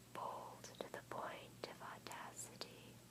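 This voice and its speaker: A whisper at a very slow pace, with noticeable background noise. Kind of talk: audiobook-style reading of a novel, ASMR. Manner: soft-spoken and whispered, alternating.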